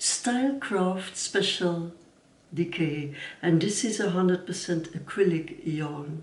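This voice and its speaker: A woman's fairly low voice in a Dutch accent, very slow, with audible room echo and noticeable background noise. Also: ordinary pitch variation. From Belgium. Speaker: knitting vlogger. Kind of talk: casual vlog talk. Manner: halting.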